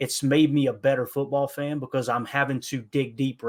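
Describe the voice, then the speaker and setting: Speaking very fast, a man keeps his pitch at a medium level. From Kentucky, Appalachia. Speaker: football podcaster. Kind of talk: casual podcast interview. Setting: remote call.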